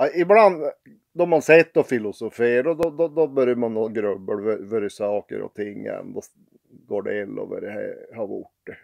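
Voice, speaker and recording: In a Norrbotten accent, the voice moves at a moderate pace with big swings in loudness. The sound is dry with no echo over a quiet background. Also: man. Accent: Piteå dialect (pitemål). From Piteå, northern Sweden. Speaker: dialect storyteller. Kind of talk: humorous anecdote told in dialect. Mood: wry, humorous musing. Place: home room. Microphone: phone near.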